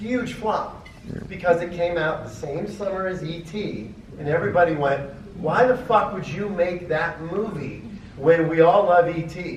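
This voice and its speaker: With noticeable background noise and audible room echo, a man talks at a fairly slow pace in an animated tone, his high pitch moving with ordinary variation. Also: big swings in loudness. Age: 60s. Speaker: film producer on convention panel. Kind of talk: convention panel discussion.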